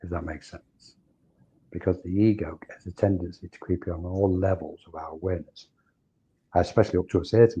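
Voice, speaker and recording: Against a quiet background, a man speaks with a very deep, low pitch, fairly even intonation and a somewhat breathy sound. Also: big swings in loudness. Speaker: spiritual teacher. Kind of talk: interview. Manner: halting.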